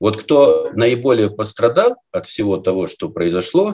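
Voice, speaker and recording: With a quiet background, a man is talking. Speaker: guest. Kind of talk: interview answer. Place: home room. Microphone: webcam.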